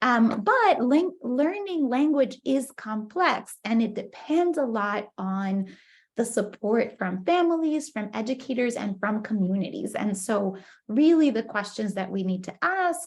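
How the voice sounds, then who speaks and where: A woman's fairly high voice with very wide pitch swings, at a fairly slow pace. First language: Spanish. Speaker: professor. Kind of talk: lecture. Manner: hesitant, many fillers.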